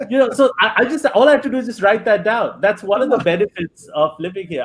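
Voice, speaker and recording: Lively intonation delivered at a very fast pace. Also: man. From India, Bengali. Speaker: comedian. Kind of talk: interview chat.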